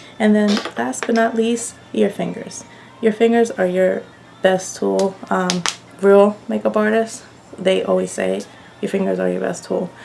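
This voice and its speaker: Noticeable background noise fills the clip. A woman talks at a fairly slow pace with long, frequent pauses. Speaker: makeup artist. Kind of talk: beauty tutorial.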